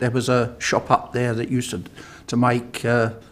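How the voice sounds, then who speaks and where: The speaker uses a Cockney accent and keeps a moderate pace. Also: man. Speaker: elderly local resident. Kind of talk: reminiscing, casual discussion.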